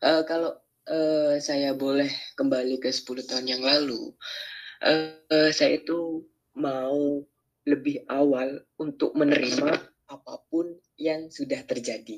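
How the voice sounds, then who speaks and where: A man's fairly high, monotone, flat voice at a very slow pace. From Madura, Indonesia (Sumenep). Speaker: recent graduate, Arabic education. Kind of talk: casual interview. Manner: formal.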